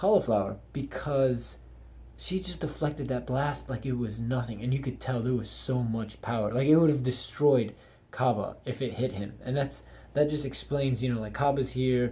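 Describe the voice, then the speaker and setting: This man has a dark, mellow tone at a medium pitch. Vocal fry runs through his voice. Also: moderate pace. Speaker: anime reviewer. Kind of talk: casual video review. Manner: monotone.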